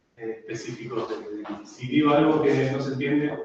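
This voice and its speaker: A man's fairly high voice with audible echo in the room. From Argentina. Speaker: university researcher. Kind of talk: seminar lecture. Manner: halting, many fillers and repetitions.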